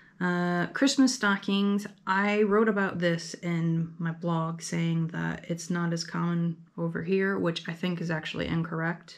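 A woman talks at a fairly slow pace. Her pitch is fairly low and her intonation fairly even. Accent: American. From US Midwest. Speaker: YouTuber; vlogger. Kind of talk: casual vlog monologue. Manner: halting, many fillers. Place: home room. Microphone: camera far.

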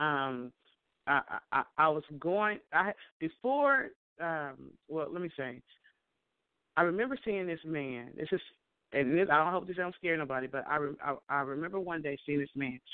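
A woman with a very deep, low pitch speaks with ordinary pitch variation and long, frequent pauses. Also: moderate pace. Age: 50s. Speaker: online radio show host. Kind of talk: interview chat. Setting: phone call.

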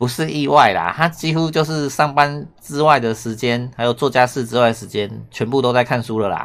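At a moderate pace and with hardly any pauses, a man with a Taiwanese accent speaks at a medium pitch with ordinary pitch variation. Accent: Taiwanese Mandarin. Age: 40s. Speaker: Japanese language teacher. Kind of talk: online lesson commentary. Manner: animated.

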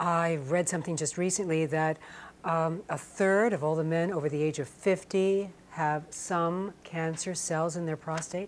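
A woman speaks in an unremarkable speaking voice, fairly low in pitch and fairly slow. Her intonation is fairly even, with light background noise. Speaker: TV talk show host. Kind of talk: call-in health talk show. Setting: studio. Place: studio. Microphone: lapel.

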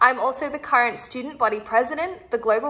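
A woman with an Australian accent talks at a fairly quick pace in a fairly high pitch with ordinary pitch variation. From Sydney, Australia. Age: 20s. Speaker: university student. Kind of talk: application video statement. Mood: confident, earnest, friendly. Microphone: phone near.

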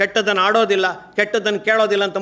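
The speaker is a man with a high pitch. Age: 60s. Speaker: retired college principal, speaker. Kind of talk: public speech. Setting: stage with audience.

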